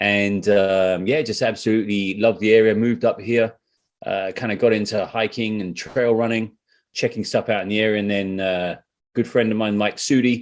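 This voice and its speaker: A man speaks with a British accent in a flat, monotone delivery. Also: fairly low pitch for a man, moderate pace, quiet background. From UK. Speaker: trail runner and hiker. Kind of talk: podcast interview. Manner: casual.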